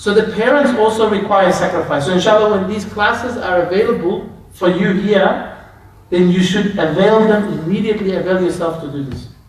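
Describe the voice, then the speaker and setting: Amid noticeable background noise and audible room echo, a man talks at a fairly quick pace with a high pitch and ordinary pitch variation. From Australia, Melbourne. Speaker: Islamic scholar. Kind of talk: lecture. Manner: conversational.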